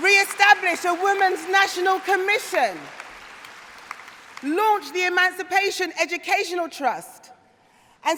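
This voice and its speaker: A woman speaks at an extremely high pitch over crowd noise in the background. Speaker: politician, Labour shadow minister. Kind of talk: political conference speech. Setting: conference hall with audience.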